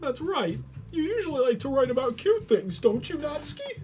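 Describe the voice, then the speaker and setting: A high-pitched, put-on character voice at a moderate pace, with clear music in the background. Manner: whiny, frightened.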